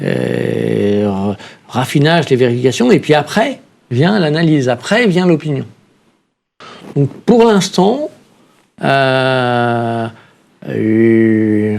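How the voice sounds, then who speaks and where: At a very slow pace, a man speaks with a medium pitch and lively intonation. Long, frequent pauses break up his very even loudness. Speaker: rating agency innovation officer. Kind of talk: panel discussion.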